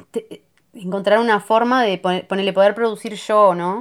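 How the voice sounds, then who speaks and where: A woman with a medium pitch talks at a moderate pace, and her pitch varies in an ordinary way. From Uruguay, Neptunia near Montevideo. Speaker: singer-songwriter. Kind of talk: casual interview chat. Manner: halting, many fillers and restarts.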